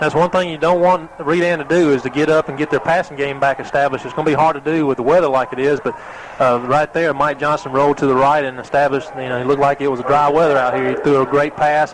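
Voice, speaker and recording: Over noticeable background noise, a man with an American accent rattles along at a very fast pace with hardly any pauses, his fairly high pitch held in fairly even intonation. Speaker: radio color commentator. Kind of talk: live commentary. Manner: halting, stumbling over words.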